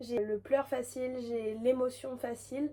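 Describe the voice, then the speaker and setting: A woman speaks in a high voice with a flat, monotone delivery. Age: 20s. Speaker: hairdresser and content creator. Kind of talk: casual vlog Q&A. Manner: hesitant, many fillers.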